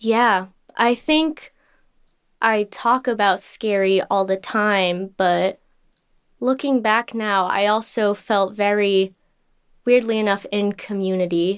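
The recording is very clean with a silent background. A woman speaks very slowly with fairly even intonation and long, frequent pauses. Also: medium pitch for a woman. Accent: Californian. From Southern California, Los Angeles. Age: 20s. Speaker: climate activist and artist. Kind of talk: interview conversation.

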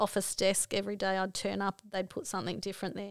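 This woman speaks with an Australian accent at medium pitch. The recording is very clean, with a silent background. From Australia, Broken Hill NSW. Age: 50s. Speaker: mother sharing life story. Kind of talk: life story interview.

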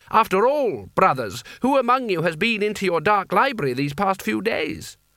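A man uses a put-on character voice, high in pitch with big swings. His tone is bright and sharp, and his pace is moderate.

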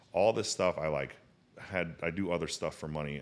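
This is a man talking. His voice carries vocal fry. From St. Louis, Missouri. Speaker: entrepreneur. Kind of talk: casual chat.

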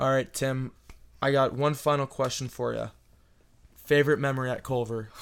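At a moderate pace, the speaker leaves long, frequent pauses. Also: man, medium pitch for a man. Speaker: student podcast host. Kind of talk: casual chat. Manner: animated.

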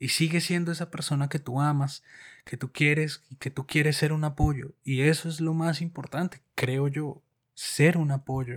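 A man's fairly high, somewhat breathy voice, fairly slow and monotone, dry and close with no echo on a very clean recording with a silent background. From Colombia. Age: 30s. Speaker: podcast co-host. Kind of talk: casual chat.

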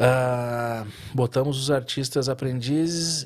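A man speaks in a plain, everyday voice. His pitch is medium, with ordinary pitch variation. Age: 30s. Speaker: tattoo artist. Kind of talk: casual interview chat.

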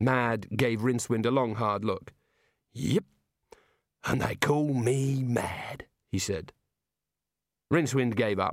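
The speech moves at a very slow pace, with long, frequent pauses. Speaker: audiobook narrator. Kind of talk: dramatic audiobook narration with character voices. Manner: shifts into gruff Aussie-sounding voices for dialogue.

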